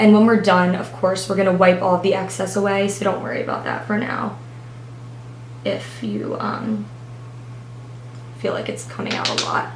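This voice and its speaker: Against noticeable background noise, a woman at a medium pitch leaves long, frequent pauses while her pitch swings very widely. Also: moderate pace. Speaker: beauty blogger. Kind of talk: makeup tutorial talk to camera. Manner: subdued, low-energy.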